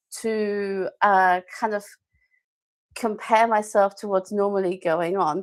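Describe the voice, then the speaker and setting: A woman's medium-pitched voice in a German accent, monotone and flat, at a very slow pace, on a very clean recording with a silent background. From Germany. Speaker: language teacher and live-stream host. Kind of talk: live-stream talk to viewers. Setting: YouTube live stream. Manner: hesitant, many fillers.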